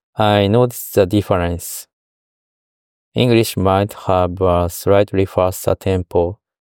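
On a very clean recording with a silent background, a man with a Japanese accent speaks at a fairly slow pace and a very deep, low pitch, with very even loudness and fairly even intonation. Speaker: voice diary podcaster. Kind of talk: monologue voice diary. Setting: car dealership.

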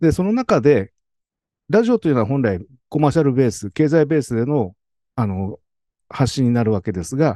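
Dry and close with no echo, a voice with a dark, mellow tone moves at a fairly quick pace through very wide pitch swings over a quiet background. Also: man. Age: 60s. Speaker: podcast listener. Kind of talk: slide presentation. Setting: video call. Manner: formal.

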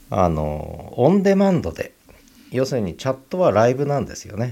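A man with a dark, mellow tone speaks at a medium pitch, his voice swinging very widely up and down. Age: 60s. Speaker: podcaster. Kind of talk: solo podcast monologue. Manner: casual, filler-heavy.

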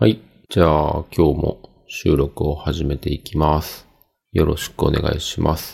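A man speaks at a very deep, low pitch and a fairly slow pace. His voice is somewhat breathy, with fairly even intonation. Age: 40s. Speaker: podcast host. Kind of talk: casual solo monologue. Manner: many filler words, relaxed.

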